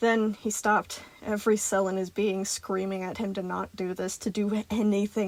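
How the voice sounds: Here the speaker uses a natural reading voice.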